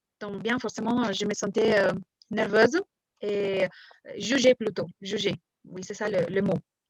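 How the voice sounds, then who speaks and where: Speaking slowly with a non-native accent, the woman leaves long, frequent pauses, keeps her intonation fairly even, and swings widely in loudness, all in a dry, close sound with no echo. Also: medium pitch for a woman. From Mexico. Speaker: French teacher. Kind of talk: interview. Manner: hesitant, many fillers.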